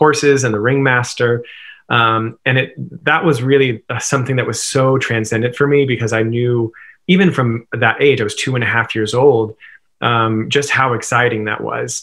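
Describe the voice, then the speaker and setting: A man talks with fairly even intonation at a moderate pace, the background quiet. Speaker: interview guest. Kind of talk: interview answer. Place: home room. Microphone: webcam.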